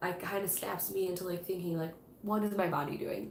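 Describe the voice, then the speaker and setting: Against noticeable background noise and audible room echo, a woman speaks in a monotone, flat intonation. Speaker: tarot reader and witchcraft YouTuber. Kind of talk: live stream book club chat. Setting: live stream. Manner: casual, many fillers.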